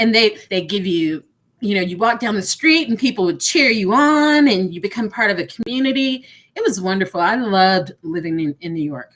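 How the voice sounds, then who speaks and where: A woman with a Texan accent, fairly quick pace and very wide pitch swings. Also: medium pitch for a woman. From Texas. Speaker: entrepreneur panelist. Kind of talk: panel discussion.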